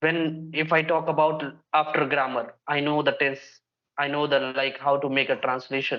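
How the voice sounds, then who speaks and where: The speaker has a Bihari accent and a monotone, flat intonation. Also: man, fairly high pitch for a man, moderate pace. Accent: Indian English (Bihari). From India, Bihar. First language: Bhojpuri. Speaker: English learning YouTuber. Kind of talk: casual conversation practice.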